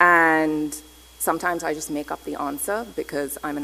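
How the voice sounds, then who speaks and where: A woman talks at a moderate pace with noticeable background noise behind her. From Pakistan, Thailand and England (Karachi, Bangkok, London). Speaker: anthropologist and researcher. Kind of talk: conference lecture.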